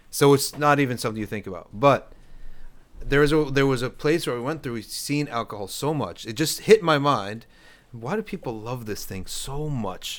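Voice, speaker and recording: An ordinary speaking voice moves at a moderate pace with lively intonation and big swings in loudness. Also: man, fairly high pitch for a man. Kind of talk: casual chat. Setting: studio with live audience.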